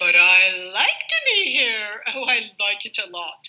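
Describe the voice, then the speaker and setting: Putting on a character voice, a woman speaks at a medium pitch and a fairly slow pace. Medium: read story. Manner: bouncy, showy.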